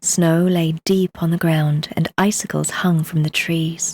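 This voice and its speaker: A woman's calm, soothing voice, fairly low-pitched, at a fairly slow pace, with a British RP accent. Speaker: audiobook narrator. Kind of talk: bedtime story reading.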